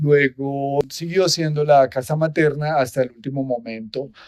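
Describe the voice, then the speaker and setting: Speaking at a fairly slow pace, a man has a medium pitch and a normal speaking voice. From Armero, Tolima, Colombia. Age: 60s. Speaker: visitor center director. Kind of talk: interview.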